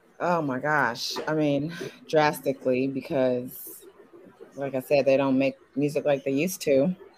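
A woman with an American accent speaks at a fairly slow pace, her pitch very deep and low. Her intonation is fairly even, and noticeable background noise is present. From Indiana. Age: 30s. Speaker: dating show contestant, actress and model. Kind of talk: casual chat.

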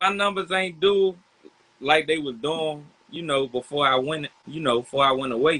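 This is a plain, everyday voice: a man with an American accent and a fairly high pitch. He speaks at a moderate pace with ordinary pitch variation. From Southeast Washington DC. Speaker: rapper. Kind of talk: casual interview.

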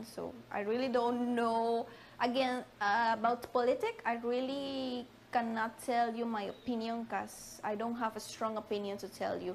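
In a Spanish accent, a woman speaks at a fairly high pitch with monotone, flat intonation. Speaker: immigrant. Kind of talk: interview.

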